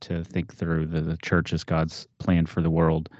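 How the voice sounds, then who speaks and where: A man's very deep, low voice with an American accent at a moderate pace. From Texas. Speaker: theology professor and podcast host. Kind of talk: casual interview conversation.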